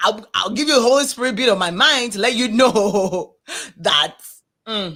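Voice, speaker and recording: A woman talks at a moderate pace with a fairly high pitch, ordinary pitch variation and an animated tone. Her tone is bright and sharp, and she takes long, frequent pauses. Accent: strong Nigerian. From Nigeria. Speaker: podcast co-host. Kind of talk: casual chat.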